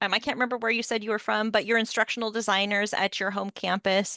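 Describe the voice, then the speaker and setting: The voice has a bright, sharp tone in a dry, close sound with no echo. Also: woman. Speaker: instructional designer. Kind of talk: workshop presentation with Q&A. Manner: fast.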